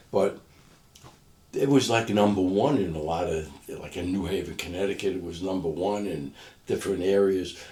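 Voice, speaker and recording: A man with a New York accent speaks at a moderate pace in a very deep, low voice that is dark, mellow and somewhat breathy. His pitch variation is ordinary, and he takes long, frequent pauses. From Brooklyn, New York. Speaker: former doo-wop singer, businessman and author. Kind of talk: interview answer.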